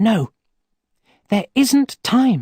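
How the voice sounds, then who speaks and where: Pitched fairly high, the speaker performs a put-on character voice. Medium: read story.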